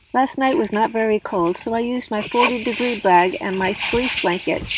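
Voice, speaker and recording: At a moderate pace, a woman talks with fairly high pitch and ordinary pitch variation against noticeable background noise. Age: 60s. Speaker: van life vlogger. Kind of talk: scripted narration. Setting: in a camper van.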